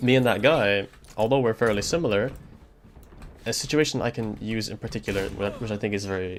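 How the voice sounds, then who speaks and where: Fairly quick and fairly low-pitched, a man speaks with a non-native accent and ordinary pitch variation. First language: not English. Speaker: streamer. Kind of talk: casual chat. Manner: hesitant, filler-heavy.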